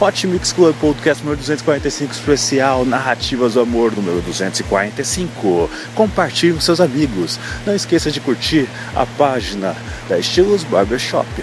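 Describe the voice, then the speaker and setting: A man with a Brazilian accent and an upbeat tone, medium pitch, very wide pitch swings and a fairly slow pace, with music in the background. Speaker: electronic music podcast DJ host. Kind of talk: radio DJ patter introducing tracks between songs, with warm, romantic sign-offs. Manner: smooth, upbeat and affectionate, with a catchphrase-style delivery.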